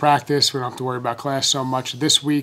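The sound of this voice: With a bright, sharp tone, a man talks at a fairly quick pace and medium pitch, his intonation fairly even.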